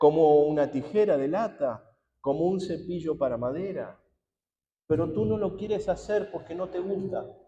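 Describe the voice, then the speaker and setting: A man's high-pitched voice at a fairly slow pace, with music in the background. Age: 60s. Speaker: pastor. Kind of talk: sermon.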